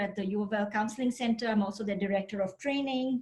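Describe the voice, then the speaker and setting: A woman with an Indian accent speaks in a fairly high pitch against noticeable background noise. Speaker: university counseling center director. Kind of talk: panel discussion.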